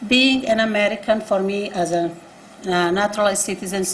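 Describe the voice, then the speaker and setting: A woman speaks at a moderate pace and a medium pitch, her intonation fairly even, with audible room echo around her. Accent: non-native. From abroad, refugee from a one-party state. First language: not English. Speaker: nonprofit executive director. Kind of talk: panel statement. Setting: public forum at city hall with live audience.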